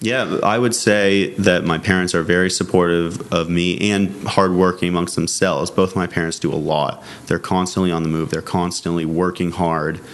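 Someone with an American accent speaks at a moderate pace with fairly even intonation. Noticeable background noise runs underneath. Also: man. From Massachusetts. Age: 20s. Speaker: film producer and director. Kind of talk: interview.

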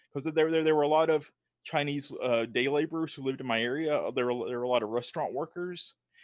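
A man with a Southern US accent, fairly high pitch and fairly even intonation, at a very fast pace. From US South. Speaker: film writer and podcaster. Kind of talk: casual chat. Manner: halting, repeats words.

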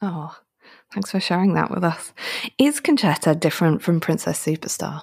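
This somewhat breathy voice speaks with an English accent at a moderate pace. Its intonation is lively. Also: woman, fairly low pitch for a woman. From England. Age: 30s. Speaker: podcast co-host. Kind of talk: casual interview chat. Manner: animated.

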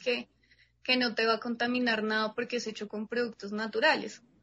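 Flat, monotone delivery from a woman whose voice is fairly high in pitch. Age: 20s. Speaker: entrepreneur. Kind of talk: interview.

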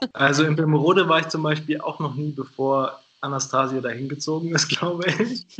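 A man speaks at a moderate pace with a fairly high pitch and ordinary pitch variation, over noticeable background noise. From Hannover, northern Germany. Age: 20s. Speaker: podcast guest. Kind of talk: casual interview. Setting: remote call.

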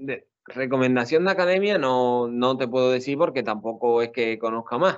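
A man talks at a medium pitch. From Spain, Seville (Andalusia). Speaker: exam candidate, sociologist. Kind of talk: interview. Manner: halting.

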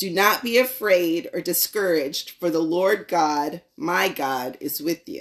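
A normal speaking voice moves at a fairly slow pace with lively intonation. It runs on with hardly any pauses. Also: woman, fairly low pitch for a woman. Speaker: guest speaker. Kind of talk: prepared talk or lesson.

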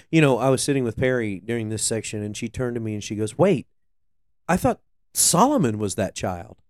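On a very clean recording with a silent background, a man with an unremarkable speaking voice talks at a fairly quick pace in a medium pitch with ordinary variation. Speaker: co-host, worship leader. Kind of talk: casual chat about faith and scripture.

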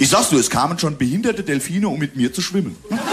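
Over noticeable background noise, a man with a high voice speaks very fast. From Hesse region, Germany (Bingen am Rhein). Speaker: comedian. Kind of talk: casual chat. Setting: studio. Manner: animated.

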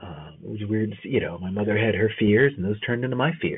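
A man with a fairly low pitch and an American accent speaks at a moderate pace with lively intonation, in a normal speaking voice. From New Jersey, US. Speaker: podcast host. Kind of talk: personal monologue podcast. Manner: frequent fillers (um, you know).

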